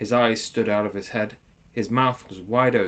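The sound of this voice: The speaker uses an unforced reading voice with fairly even intonation.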